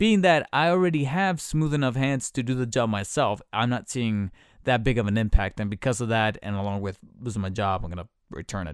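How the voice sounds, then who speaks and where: Lively intonation marks this man's fairly quick speech. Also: very clean recording, silent background. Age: 30s. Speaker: solo podcast host. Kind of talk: casual solo commentary. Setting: home recording. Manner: hesitant, many fillers.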